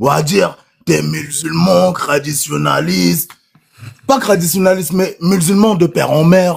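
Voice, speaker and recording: With very even loudness, a man speaks at a fairly slow pace. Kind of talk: casual chat. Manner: animated.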